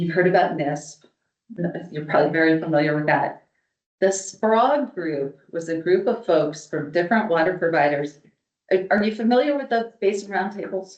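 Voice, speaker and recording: With a plain, everyday voice, a woman of fairly low pitch speaks in lively intonation. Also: moderate pace. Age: 60s. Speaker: water policy speaker. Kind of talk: presentation to an audience.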